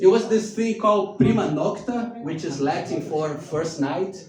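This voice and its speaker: A man with a non-native accent speaks at a moderate pace in a high pitch, with ordinary pitch variation. Music plays behind him, and the room echo is audible. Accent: foreign. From Brazil. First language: Portuguese. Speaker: stand-up comedian. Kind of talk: stand-up. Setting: stage with audience in a bar.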